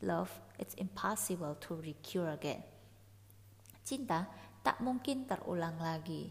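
A woman with an Indonesian accent speaks at a fairly slow pace with long, frequent pauses. Her fairly low pitch takes very wide swings, with vocal fry. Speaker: podcast host. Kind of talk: solo podcast explaining song lyrics. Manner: casual, chatty.

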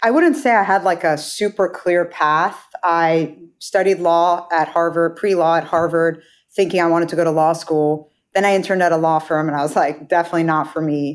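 A woman with an American accent and a normal speaking voice, fairly low in pitch, talks at a fairly quick pace with fairly even intonation and very even loudness in a very clean recording with a silent background. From United States. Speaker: venture capital investor. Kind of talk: interview.

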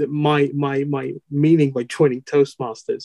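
In a Dutch accent, the speaker goes at a fairly slow pace, with a dry, close sound and no echo. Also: man. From Netherlands. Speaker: Toastmasters district officer, IT professional. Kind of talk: interview, casual chat. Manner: halting, hesitant with fillers.

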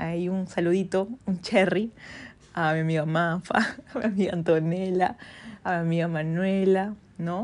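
A woman talks at a fairly slow pace and a fairly low pitch. Her intonation is fairly even, with long, frequent pauses. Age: 20s. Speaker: podcast host. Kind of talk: casual solo monologue.

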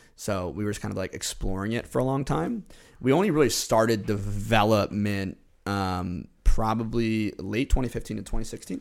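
A man with an American accent and a normal speaking voice, fairly low-pitched, with ordinary pitch variation, at a moderate pace, on a very clean recording with a silent background. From New York (Westchester). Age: 20s. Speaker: entrepreneur. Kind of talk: interview.

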